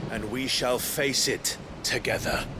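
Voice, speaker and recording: Through loud background noise, a man does a put-on character voice at a medium pitch. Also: fairly slow pace. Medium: video game. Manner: earnest, steady.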